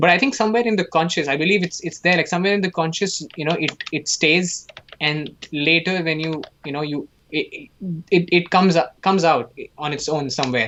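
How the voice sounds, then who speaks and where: Amid noticeable background noise, a man with an Indian accent and a high pitch speaks at a fairly quick pace, his pitch varying in an ordinary way. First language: Hindi. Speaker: animation artist and student. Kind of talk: casual chat during live painting demo. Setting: live stream.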